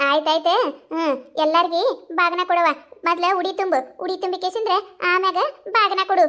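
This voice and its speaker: A woman's cartoonish character voice, extremely high in pitch, at a moderate pace with fairly even intonation. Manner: commanding, homely.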